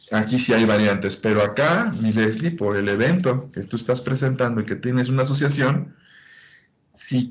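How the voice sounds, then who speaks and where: Audible room echo surrounds a man talking at a moderate pace and medium pitch, with ordinary pitch variation. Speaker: medical lecturer. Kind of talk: lecture.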